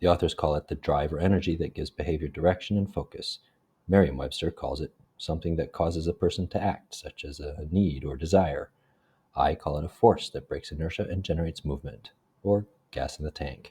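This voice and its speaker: Vocal fry runs through a man's very deep, low voice. He talks at a fairly quick pace with fairly even intonation. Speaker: graduate student. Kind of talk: educational presentation narration. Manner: less whispery than before.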